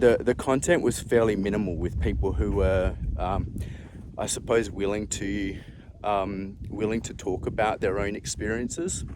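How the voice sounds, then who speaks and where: A man talks at a fairly slow pace. His pitch is fairly low. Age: 40s. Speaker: former health professional living with cervical dystonia. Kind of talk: casual personal talk to camera. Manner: hesitant, with many fillers.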